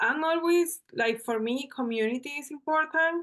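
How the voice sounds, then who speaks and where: A woman with a Venezuelan accent speaks at a fairly slow pace with lively intonation against a quiet background. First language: Spanish. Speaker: journalist and bars facilitator. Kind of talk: podcast interview.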